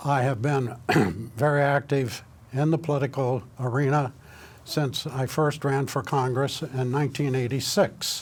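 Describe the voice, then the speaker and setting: A man with a Midwestern US accent speaks at a moderate pace. His medium-pitched voice is somewhat breathy, with fairly even intonation. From Indiana. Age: 80s+. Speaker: political candidate. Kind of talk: candidate self-introduction.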